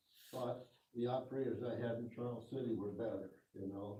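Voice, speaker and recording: A man talks at a medium pitch in a somewhat breathy, flat, monotone way. Audible room echo surrounds his voice. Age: 80s+. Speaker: retired tractor plant employee. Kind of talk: audience Q and A talk.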